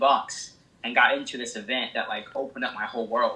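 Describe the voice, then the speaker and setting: Speaking at a fairly quick pace with an American accent, a man comes through over noticeable background noise. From small town in Illinois. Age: 20s. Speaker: real estate investor. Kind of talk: casual interview answer. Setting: phone line.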